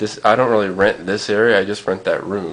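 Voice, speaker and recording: A man speaks over noticeable background noise. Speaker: vlogger. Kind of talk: casual vlog. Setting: at home, alone. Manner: halting, many fillers.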